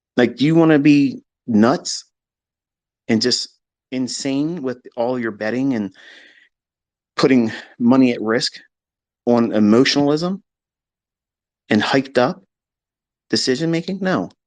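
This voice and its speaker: Against a quiet background, a man with a medium-pitched voice speaks at a fairly slow pace with ordinary pitch variation and long, frequent pauses. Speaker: trading educator. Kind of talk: live audio chat lecture. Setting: Twitter space audio room.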